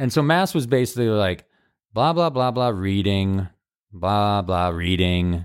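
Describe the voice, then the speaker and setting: An ordinary speaking voice from a man, fairly low in pitch, with ordinary pitch variation. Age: 40s. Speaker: improviser and podcast co-host. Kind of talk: casual chat.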